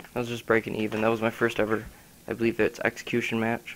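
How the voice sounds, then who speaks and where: A man at medium pitch speaks at a very fast pace. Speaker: gaming youtuber. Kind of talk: gameplay commentary. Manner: halting, stuttering.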